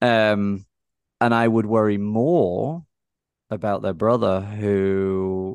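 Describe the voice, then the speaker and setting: In a dry, close recording with no echo and a quiet background, a man with an English accent speaks at a fairly low pitch with ordinary pitch variation. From England. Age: 40s. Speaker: tech company founder. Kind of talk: interview conversation.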